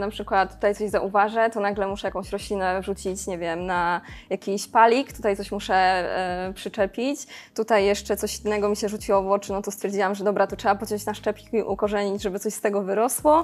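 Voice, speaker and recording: A woman's medium-pitched voice at a very fast pace, with fairly even intonation, on a very clean recording with a silent background. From Poland, Karkonosze mountains (Szklarska Poręba). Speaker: plant caretaker at a plant shop warehouse. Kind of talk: casual chat. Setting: shop warehouse.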